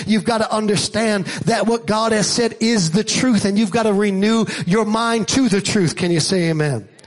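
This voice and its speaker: Over noticeable background noise, a man with an American accent talks at a high pitch and a fairly quick pace in an animated tone. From Staten Island, New York. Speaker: preacher. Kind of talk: sermon. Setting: church with live congregation. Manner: animated, rallying call-and-response delivery; emphatic, loud, urging the congregation to shout.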